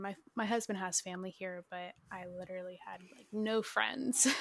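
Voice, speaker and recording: A woman's plain, everyday voice in an American accent, medium in pitch, at a moderate pace with fairly even intonation, on a very clean recording with a silent background. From Minnesota. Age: 20s. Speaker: photographer. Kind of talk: casual chat.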